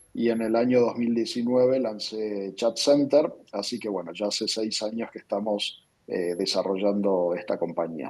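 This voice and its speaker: Hardly pausing, a man with an Argentine accent speaks at a fairly slow pace, his pitch fairly low with ordinary variation. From Argentina. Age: 40s. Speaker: tech company founder and CEO. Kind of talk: interview. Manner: frequent hesitations and repetitions.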